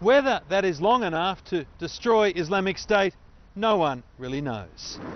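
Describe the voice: A man speaks at a high pitch and a fairly slow pace, with ordinary pitch variation.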